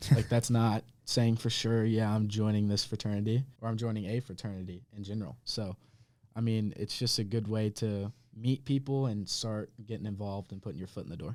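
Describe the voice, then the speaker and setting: A man's fairly low voice at a fairly quick pace with fairly even intonation, on a very clean recording with a silent background. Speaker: fraternity recruitment chair, college student. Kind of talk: casual podcast chat. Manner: loud.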